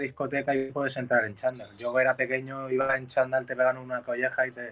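Over noticeable background noise, a man rattles along at a very fast pace with monotone, flat intonation and hardly any pauses. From Mallorca, Spain. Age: 20s. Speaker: musician. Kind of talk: casual chat. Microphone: headphones removed, speaking without earphones.

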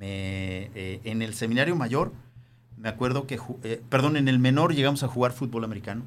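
A man's plain, everyday voice, medium in pitch, at a moderate pace with ordinary pitch variation. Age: 50s. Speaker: teacher, former seminarian. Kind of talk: casual chat.

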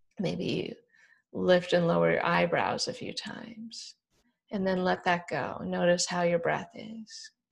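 A woman speaks at a fairly slow pace. Her loudness swings a lot. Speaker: yoga and meditation podcast host. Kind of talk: guided relaxation; casual podcast talk. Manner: calm, slow.

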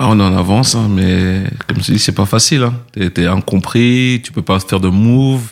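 Fairly low-pitched male speech at a moderate pace, ordinary pitch variation, noticeable background noise behind it. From France, Paris region (Les Mureaux). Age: 40s. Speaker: music entrepreneur. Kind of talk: interview conversation.

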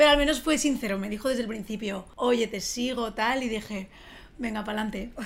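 Here is a plain, everyday voice from a woman with a fairly high pitch. She moves at a fairly quick pace, and her pitch varies an ordinary amount. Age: 30s. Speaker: YouTuber. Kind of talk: casual chat.

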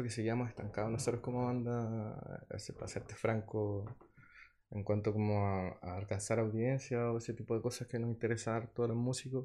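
The man's intonation stays monotone and flat. His pitch sits in the medium range. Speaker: musician. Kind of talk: interview. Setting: studio.

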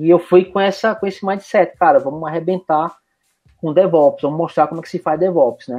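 With fairly even intonation, a man talks in a high pitch. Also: moderate pace. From Recife, Brazil. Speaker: IT professional, DevOps specialist. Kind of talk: casual interview. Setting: remote recording.

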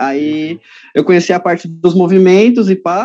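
A man talks in a high register, and his pitch varies in an ordinary way. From São Paulo city, Brazil. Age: 20s. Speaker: calisthenics athlete. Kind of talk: casual chat.

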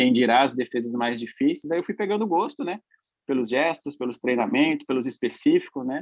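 A man talks at a fairly quick pace. His pitch is fairly high and his intonation lively. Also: dry, close sound with no echo. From São Paulo, East Zone (Itaquera). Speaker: professional football goalkeeper. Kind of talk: podcast interview. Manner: calm, relaxed, laughing.

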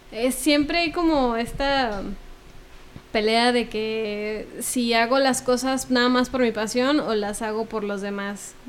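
Amid audible room echo, a high-pitched woman speaks at a very slow pace with long, frequent pauses and ordinary pitch variation. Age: 20s. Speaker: cultural producer and former cellist. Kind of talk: casual interview.

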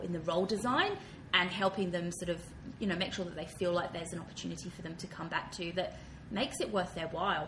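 Amid noticeable background noise and audible room echo, a woman with an Australian accent and a fairly low pitch talks very fast with fairly even intonation. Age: 30s. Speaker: diversity and inclusion consultant. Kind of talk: interview. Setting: office.

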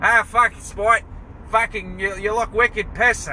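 A nasal, put-on character voice speaks at a fairly slow pace over light background noise. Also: man, high pitch for a man. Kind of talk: crude, slangy. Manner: mocking, gruff.

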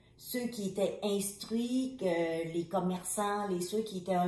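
A woman's medium-pitched voice at a very slow pace, with audible room echo. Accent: Vietnamese. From Vietnam. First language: Vietnamese (speaking French). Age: 50s. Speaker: refugee mother of hosts. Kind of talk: personal testimony.

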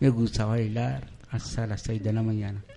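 A man of medium pitch at a fairly slow pace. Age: 50s. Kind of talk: live radio chat. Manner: halting.

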